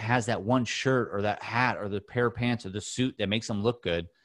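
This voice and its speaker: Here a man talks with a Californian accent. His pitch is medium and his pace very fast. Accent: Californian American. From Southern California, Orange County. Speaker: mental health advocate and podcast host. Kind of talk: casual interview chat.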